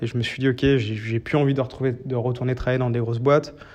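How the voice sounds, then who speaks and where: The intonation of this man is monotone and flat. His voice rests at a medium pitch. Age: 30s. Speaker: startup founder. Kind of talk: interview. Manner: halting, many fillers.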